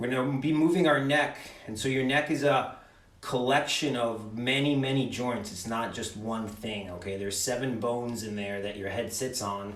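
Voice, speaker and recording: Ordinary pitch variation, noticeable background noise and audible room echo. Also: man, medium pitch for a man. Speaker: mobility instructor. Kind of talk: guided exercise class. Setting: video call. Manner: loud; slow, instructive.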